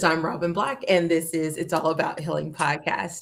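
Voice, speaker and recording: A woman with a fairly low pitch speaks at a moderate pace over noticeable background noise. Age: 30s. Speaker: podcast host. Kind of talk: interview.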